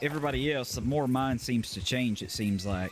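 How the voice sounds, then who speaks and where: A man's medium-pitched voice with lively intonation against noticeable background noise. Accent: Southern US. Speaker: streamer. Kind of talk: casual chat.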